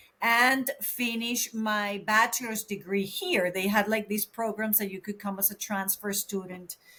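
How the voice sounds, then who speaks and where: A woman with a Venezuelan accent speaks at a fairly slow pace with hardly any pauses, her fairly high voice keeping a fairly even intonation. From Venezuela, Caracas. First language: Spanish. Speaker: counselor. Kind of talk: casual chat.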